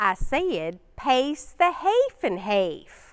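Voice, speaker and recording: A woman performs a loud, put-on character voice with a strong Kentucky accent as part of the act. Her pitch is high and swings very widely. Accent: thick Southern Kentucky. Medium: stage play. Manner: blunt and a bit too loud.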